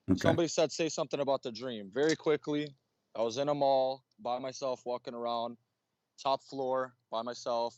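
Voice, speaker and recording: With a plain, everyday voice, a man speaks at medium pitch and a moderate pace, his intonation fairly even, in a dry, close sound with no echo against a quiet background. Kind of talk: live online debate. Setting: online call.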